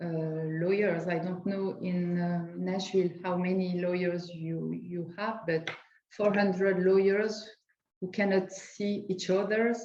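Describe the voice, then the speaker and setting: A woman with a French accent speaks fairly slowly at a medium pitch, in a monotone, flat delivery. Audible room echo surrounds her voice. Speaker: lawyer. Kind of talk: panel discussion. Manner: halting.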